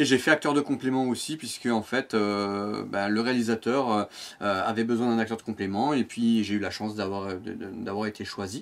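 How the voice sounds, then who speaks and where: Recorded very clean against a silent background, a man speaks at medium pitch and moderate pace with fairly even intonation. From Provence, southern France. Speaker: amateur voice actor and YouTuber. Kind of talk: interview. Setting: outdoors with cicadas. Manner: hesitant, many fillers.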